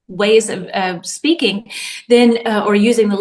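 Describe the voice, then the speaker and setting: A woman is speaking. She has a Tennessee accent. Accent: Southern US (Tennessee). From US South, Nashville, Tennessee. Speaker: English teacher. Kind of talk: casual chat.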